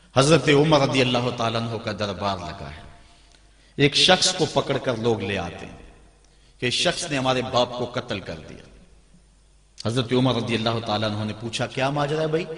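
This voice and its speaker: A medium-pitched man's voice with lively intonation and big swings in loudness. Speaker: Islamic preacher giving a sermon. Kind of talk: religious sermon (bayan) delivered to an audience. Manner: passionate, storytelling preacher style.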